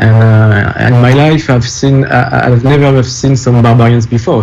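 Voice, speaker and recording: Against noticeable background noise, a man with a French accent speaks at a moderate pace and medium pitch, with fairly even intonation. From France. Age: 40s. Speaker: documentary filmmaker. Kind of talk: interview. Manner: halting.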